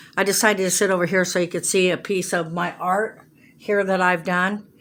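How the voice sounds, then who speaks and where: A woman at medium pitch, fairly quick in pace, with monotone, flat intonation. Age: 60s. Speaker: vlogger, amateur painter. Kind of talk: casual talk to camera. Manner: halting, many fillers.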